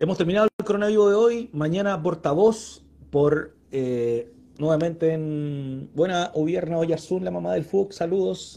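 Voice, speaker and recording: This man has a high pitch and a dark, mellow tone, talking at a fairly slow pace with ordinary pitch variation. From Chile, Santiago (Puente Alto). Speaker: live-stream interview host. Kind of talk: casual interview. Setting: live online video stream.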